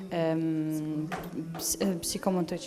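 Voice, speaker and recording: In an Italian accent, a woman speaks with monotone, flat intonation. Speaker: family member interpreting. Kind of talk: live interpreting. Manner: halting.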